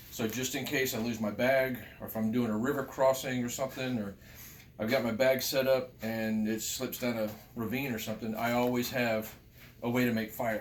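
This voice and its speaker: Monotone, flat intonation with audible room echo. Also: man, medium pitch for a man, moderate pace. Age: 50s. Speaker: outdoors gear vlogger. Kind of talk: casual show-and-tell tutorial. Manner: casual, repetitive.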